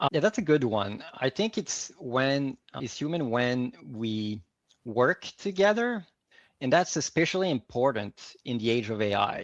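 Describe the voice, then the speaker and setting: Speaking at a fairly slow pace in a Quebec accent, a man with a medium pitch makes very wide pitch swings against a quiet background, the sound dry and close with no echo. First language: French. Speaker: organizational psychology advisor. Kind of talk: fireside chat interview.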